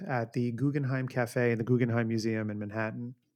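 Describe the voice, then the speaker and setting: A man at a medium pitch with an American accent. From New York City. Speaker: horror podcast co-host. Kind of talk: casual chat.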